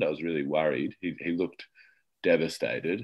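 Over a quiet background, a man talks with an Australian accent. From Australia, Adelaide. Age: 20s. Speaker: comedian. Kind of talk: interview. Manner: halting.

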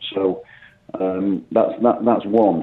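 This man has a fairly low pitch, fairly even intonation and an unremarkable speaking voice. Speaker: football manager. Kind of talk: radio interview. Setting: phone call.

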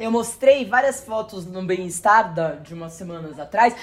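Ordinary pitch movement, a moderate tempo and noticeable background noise. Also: woman. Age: 40s. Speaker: journalist. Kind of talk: casual chat.

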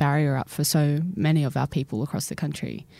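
With an Australian accent, a woman speaks at a moderate pace in a dark, mellow tone. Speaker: podcast host. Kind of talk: interview.

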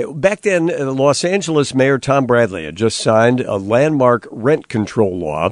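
With an ordinary speaking voice, a man talks at a moderate pace and with lively intonation. The sound is dry and close with no echo. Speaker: radio host. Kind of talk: news-archive show host introduction.

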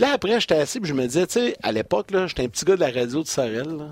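A man with a Quebec accent, his sound dry and close with no echo. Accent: Québécois French. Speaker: hockey broadcaster. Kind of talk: sports talk show. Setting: studio.

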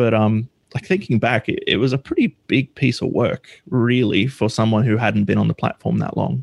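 A man with an Australian accent speaks at a medium pitch and moderate pace, with ordinary pitch variation and some vocal fry. His loudness stays very even, and the sound is dry and close with no echo. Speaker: software developer. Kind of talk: casual interview. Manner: hesitant, many fillers.

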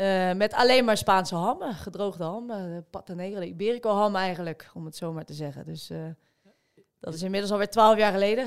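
An unremarkable speaking voice from a woman at medium pitch, fairly quick, with ordinary pitch variation, on a very clean recording with a silent background. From Rotterdam, Netherlands. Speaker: amateur marathon runner. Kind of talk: casual chat.

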